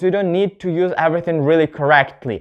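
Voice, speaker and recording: A man with a non-native accent speaks in a high voice against a quiet background. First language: not English. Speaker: English teacher YouTuber. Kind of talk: tutorial. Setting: on camera at home. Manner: halting, with self-corrections.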